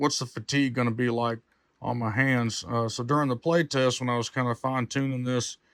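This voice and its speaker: The speech moves at a moderate pace with a dry, close sound and no echo. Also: man. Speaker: gaming streamer. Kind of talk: hardware tour. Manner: loud; casual, halting with fillers.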